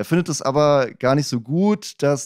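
Dry with no echo and set against a quiet background, a man's dark, mellow voice moves at a moderate pace with ordinary pitch variation. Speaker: podcast host. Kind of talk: podcast intro. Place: studio. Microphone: studio mic.

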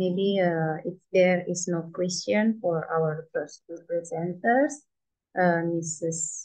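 A woman with an Indonesian accent speaks at a very slow pace and a fairly low pitch. Her pitch varies in an ordinary way, and the background is quiet. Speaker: session moderator. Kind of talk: conference moderation. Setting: video call. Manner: hesitant, many fillers. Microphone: video call.

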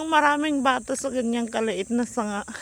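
A woman talks at a fairly slow pace. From Philippines, rural province. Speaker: vlogger. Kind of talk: casual walking vlog. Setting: outdoors, rural road. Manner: chatty with frequent laughs.

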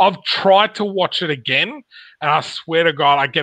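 A man at a moderate pace, his tone bright and sharp, the sound dry with no echo and the background quiet. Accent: Australian. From Australia. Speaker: podcast host. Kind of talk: casual chat. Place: home room. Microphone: video call.

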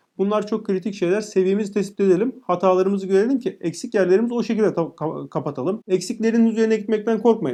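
A man with a dark, mellow tone speaks at a very fast pace. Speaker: educator, YouTuber. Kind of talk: tutorial. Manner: casual, direct address to viewers.

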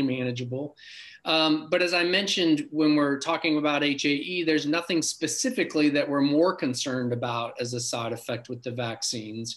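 Delivery moves at a moderate pace. The pitch rises and falls in an ordinary way. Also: man. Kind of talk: interview answer. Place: home room. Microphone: video call.

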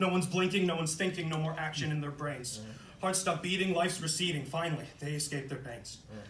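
Speaking in an angry tone at a very fast pace, a man with a fairly high pitch and ordinary pitch variation is heard with audible room echo and light background noise. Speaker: poet. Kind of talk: spoken-word poem performance. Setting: live reading in a coffee shop. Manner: dark, defiant, angry, with rhythmic rhyming delivery. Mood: intense, earnest.

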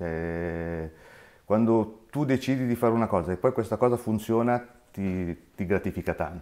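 Against a quiet background, a man speaks at a moderate pace in a fairly low pitch with a dark, mellow tone and ordinary pitch variation. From Milan, northern Italy. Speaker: independent optician, shop owner; interviewee. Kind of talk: interview. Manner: halting. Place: home room.

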